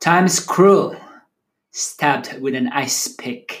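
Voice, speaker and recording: A man with a Filipino accent, at a very slow pace, with ordinary pitch variation. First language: Tagalog. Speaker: poet. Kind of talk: casual reflection; poetry reading.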